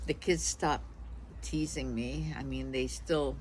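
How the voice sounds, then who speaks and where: A woman talks at a fairly slow pace. Room echo can be heard. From Hungary, raised in US. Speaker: vlogger, former radio broadcaster. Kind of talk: casual vlog talk. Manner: hesitant, with fillers.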